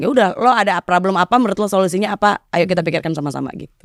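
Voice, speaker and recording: A woman speaks at a very fast pace and fairly low pitch, with ordinary pitch variation and a dry, close sound with no echo. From Indonesia, East Jakarta. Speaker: office worker with foreign clients. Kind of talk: casual chat.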